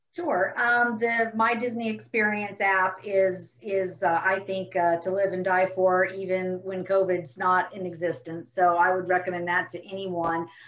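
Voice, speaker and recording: Against noticeable background noise, a woman of medium pitch talks fairly slowly in an American accent. She leaves hardly any pauses, and her intonation stays fairly even. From Orlando, Florida. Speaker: tour relations manager. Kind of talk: panel discussion.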